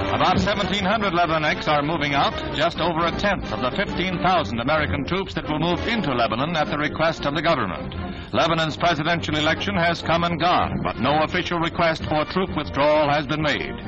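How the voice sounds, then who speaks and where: Noticeable background noise sits under a man's voice. He talks very fast at a very even loudness, with hardly any pauses. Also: fairly high pitch for a man, ordinary pitch variation. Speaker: newsreel narrator. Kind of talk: newsreel narration.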